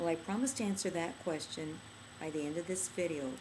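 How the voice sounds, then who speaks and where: Woman's voice, fairly low pitched with ordinary pitch variation, in audible room echo. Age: 60s. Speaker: skincare product inventor. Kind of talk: product demonstration tutorial.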